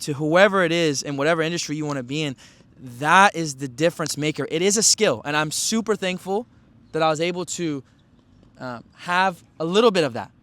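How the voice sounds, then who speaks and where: This man's voice is high in pitch, with lively intonation at a moderate pace. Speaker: podcast host. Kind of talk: motivational monologue. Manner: intense, urgent.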